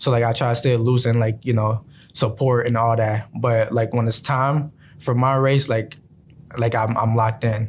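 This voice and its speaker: A somewhat breathy voice speaks at a moderate pace, flat and monotone, with very even loudness. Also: man, medium pitch for a man. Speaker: college sprinter. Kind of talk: interview. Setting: radio studio. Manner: halting, filler-heavy.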